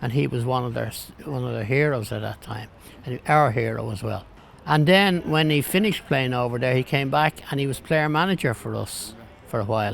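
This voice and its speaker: The man speaks with a Dublin accent. His pace is fairly quick, with ordinary pitch variation. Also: medium pitch for a man. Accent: Dublin Irish. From Ireland, Dublin (Ringsend area). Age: 80s+. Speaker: football fan and club historian. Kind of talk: interview testimony. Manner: halting, repeats words.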